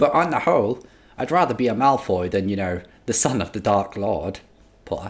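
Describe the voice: Here someone is doing plain reading aloud.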